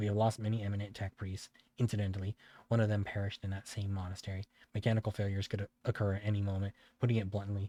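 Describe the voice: Someone simply reads the text aloud in a plain way.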